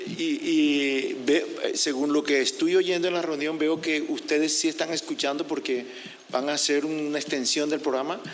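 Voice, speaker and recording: A man with a Spanish accent at a fairly quick pace, over noticeable background noise. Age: 60s. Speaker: public commenter. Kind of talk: public comment at meeting. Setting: public meeting. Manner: halting.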